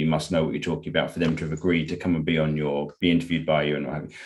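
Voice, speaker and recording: This man has a very deep, low pitch. He speaks with a British accent. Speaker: podcast host. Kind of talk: podcast interview.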